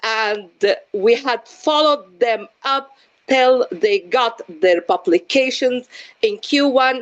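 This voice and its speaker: Loud and very slow, this voice with an Arabic accent has lively intonation. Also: woman. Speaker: physician and research educator. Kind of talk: panel discussion. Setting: video call. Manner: halting.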